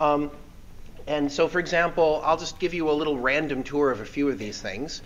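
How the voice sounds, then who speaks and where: Moderate-paced speech from a man. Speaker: guest lecturer. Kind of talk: lecture. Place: hall. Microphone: podium.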